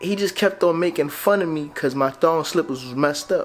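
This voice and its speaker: A man speaks in a high pitch with lively intonation and an animated tone over noticeable background noise. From Grenada. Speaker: vlogger. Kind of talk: storytelling. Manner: casual, animated.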